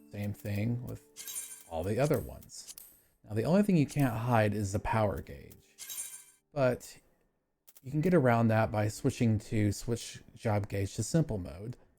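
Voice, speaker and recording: At a moderate pace, a man with a medium pitch and a dark, mellow, somewhat breathy tone speaks with lively intonation and long, frequent pauses. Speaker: gaming tutorial youtuber. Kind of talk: tutorial. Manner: halting, self-described stutter; casual.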